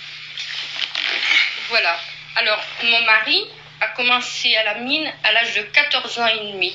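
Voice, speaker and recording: Over noticeable background noise and audible room echo, a woman speaks with a fairly high pitch. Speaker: miner's wife. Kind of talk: interview testimony. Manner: animated, emphatic.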